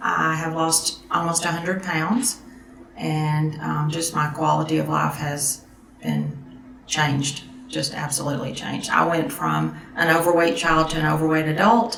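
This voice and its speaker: With a Southern US accent, a woman talks at a moderate pace over noticeable background noise and audible room echo. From US South, Tennessee. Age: 60s. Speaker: surgery patient, occupational therapy assistant. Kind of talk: testimony.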